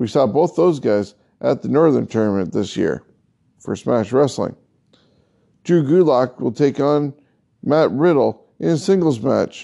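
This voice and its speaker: A man with a dark, mellow tone speaks at a medium pitch with lively intonation. He goes at a fairly slow pace, leaving long, frequent pauses. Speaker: wrestling podcast host. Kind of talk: podcast monologue: news, results and previews.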